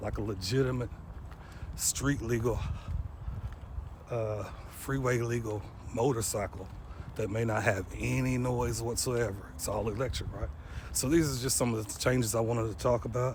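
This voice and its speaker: With audible room echo, a man speaks quietly at a moderate pace and medium pitch, with ordinary pitch variation and long, frequent pauses. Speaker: trucking and logistics vlogger. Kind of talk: casual vlog monologue. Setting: outdoors on an early morning walk. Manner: quiet, holding back volume.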